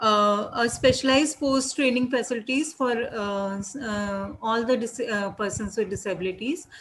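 This speaker has an Indian accent and a moderate pace. The pitch varies in an ordinary way. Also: woman. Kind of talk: webinar panel discussion. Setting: video call. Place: home room. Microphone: video call.

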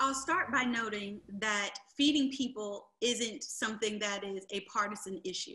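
Against a quiet background, a woman with an American accent speaks at a fairly slow pace in a fairly high voice with a bright, sharp tone. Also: ordinary pitch variation. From rural eastern North Carolina. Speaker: county commissioner and candidate; candidate. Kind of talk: candidate forum. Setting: video call. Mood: earnest, measured. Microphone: video call.

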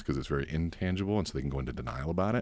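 Using vocal fry and ordinary pitch variation, a man with a very deep, low pitch talks at a very fast pace. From Cuban-American family. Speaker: coach and course seller. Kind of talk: casual podcast interview.

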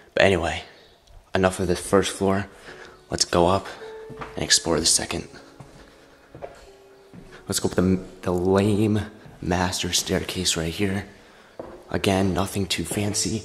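A man speaks with a very deep, low pitch in a monotone, flat delivery. Long, frequent pauses break up his speech over faint background music. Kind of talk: casual vlog commentary. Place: home room. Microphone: phone near.

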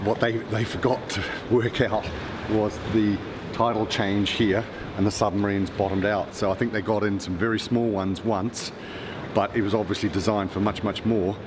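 A man at a moderate pace, fairly low in pitch and monotone, flat in intonation, over noticeable background noise. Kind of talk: casual explanation to the vlogger. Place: tunnel cave. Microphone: camera far.

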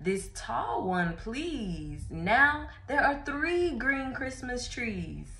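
A woman with very wide pitch swings. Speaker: storyteller. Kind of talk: children's read-aloud. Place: home room. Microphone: phone near.

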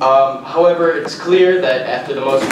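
A man talks at a moderate pace. There is noticeable background noise and audible room echo. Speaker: industry association representative at public comment. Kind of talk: public testimony read from prepared statement. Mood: formal, measured. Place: hall. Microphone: podium.

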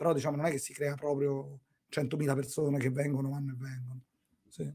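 A man speaks at a fairly quick pace in a fairly high pitch, his voice somewhat breathy against a quiet background. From Rome, Italy; Italy. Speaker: entrepreneur; podcast guest. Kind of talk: interview. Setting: video call. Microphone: earbuds.

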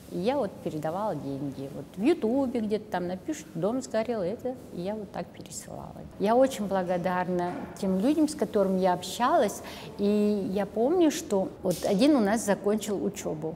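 With light background noise, a woman speaks at a medium pitch and moderate pace, her pitch making very wide swings. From Kazakhstan. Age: 60s. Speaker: volunteer and math teacher; math teacher. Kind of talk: interview monologue. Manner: halting. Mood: warm, reflective. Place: studio.

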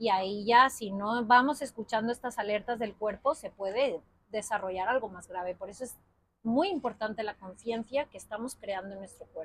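Fairly high-pitched woman at a moderate pace, ordinary pitch variation, big swings in loudness, dry sound with no echo. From Spain. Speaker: yoga teacher. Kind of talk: casual chat. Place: garden. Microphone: lapel.

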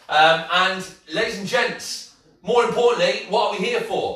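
At a moderate pace, a man speaks in a raised, projected voice with audible room echo. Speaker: fitness instructor. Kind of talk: workout class instruction. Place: kitchen. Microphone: camera far.

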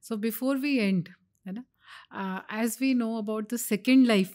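An ordinary speaking voice from a woman, fairly high in pitch with ordinary pitch variation, at a moderate pace, on a very clean recording with a silent background. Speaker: oncologist. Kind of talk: interview.

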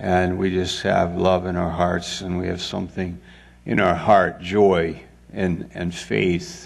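A man's voice with a very deep, low pitch. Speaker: pastor. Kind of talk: sermon. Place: church. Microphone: headset.

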